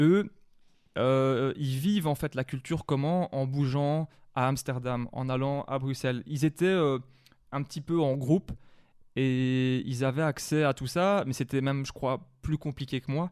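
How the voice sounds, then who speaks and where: Long pauses come often throughout. The background is quiet. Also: man, fairly high pitch for a man. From Wallonia, Belgium (La Louvière area). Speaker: hip-hop record collector and manager. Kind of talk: interview. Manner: hesitant, many fillers.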